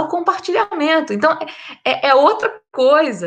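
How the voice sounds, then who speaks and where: A woman's bright, sharp tone in a raised, projected voice at a fairly slow pace. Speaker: historian. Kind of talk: panel discussion.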